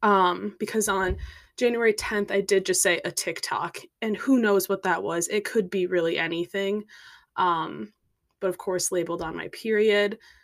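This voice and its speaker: A woman with an unremarkable speaking voice talks at a moderate pace in a medium pitch and fairly even intonation, captured on a very clean recording with a silent background. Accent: American. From US Midwest, Minnesota. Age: 20s. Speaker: podcaster. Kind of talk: casual monologue.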